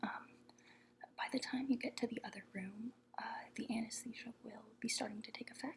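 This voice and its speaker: Soft-spoken and fairly even in intonation, the voice keeps a moderate pace. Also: woman. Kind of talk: ASMR roleplay, soft-spoken role-play as a medical professional.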